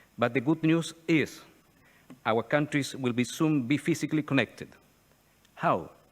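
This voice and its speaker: Fairly slow delivery from a man, his intonation lively. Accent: Chilean Spanish. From Chile. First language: Spanish. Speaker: retired navy admiral, think tank speaker. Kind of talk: conference speech. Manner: formal.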